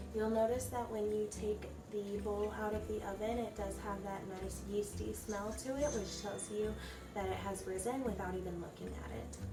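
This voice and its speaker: A soft-spoken woman talks at a moderate pace. Noticeable background noise can be heard. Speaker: home baker. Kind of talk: casual baking tutorial.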